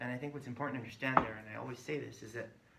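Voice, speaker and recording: Against noticeable background noise and audible room echo, a man at medium pitch speaks with fairly even intonation. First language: Spanish. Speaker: community health worker trainer. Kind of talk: training session.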